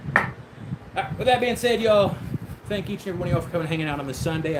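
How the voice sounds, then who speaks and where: Speaking very fast with lively intonation and an American accent, a man is heard over noticeable background noise and audible room echo. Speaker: woodturning livestreamer. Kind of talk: casual livestream chat while woodturning. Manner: loud, yelling.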